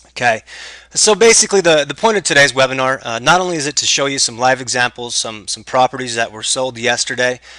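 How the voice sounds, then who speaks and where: A fairly quick-paced man at a medium pitch, with ordinary pitch variation and big swings in loudness. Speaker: tax sale investment trainer. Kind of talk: webinar tutorial. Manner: fast; hesitant, many fillers.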